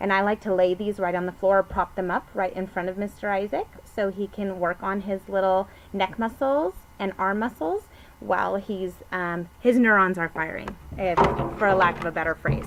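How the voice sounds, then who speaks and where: At a moderate pace, an unremarkable speaking voice keeps its intonation fairly even. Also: woman, medium pitch for a woman. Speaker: book sales consultant. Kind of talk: product review.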